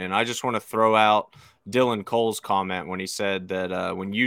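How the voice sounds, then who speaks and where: Recorded very cleanly against a silent background, with a dry, close sound and no echo, a man talks at a moderate pace in a fairly low pitch. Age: 30s. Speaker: podcast co-host, MMA promotion. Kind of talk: casual chat.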